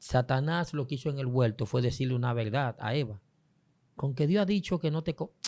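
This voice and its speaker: A man with a medium pitch and a dark, mellow tone, at a fairly quick pace. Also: ordinary pitch variation, very clean recording, silent background. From Dominican Republic, San Pedro de Macorís. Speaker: prophet, preacher. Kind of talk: interview conversation on faith.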